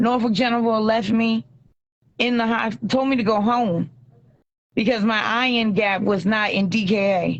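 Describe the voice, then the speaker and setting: A woman talks at a moderate pace in a fairly high pitch with fairly even intonation. Hers is an unremarkable speaking voice. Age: 30s. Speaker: hospital patient. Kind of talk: video call interview. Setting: hospital bed, video call. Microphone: bad reception, dropping out.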